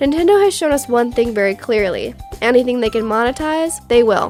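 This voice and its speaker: A high-pitched woman's voice with ordinary pitch variation and music in the background. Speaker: gaming commentator. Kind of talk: casual opinion commentary.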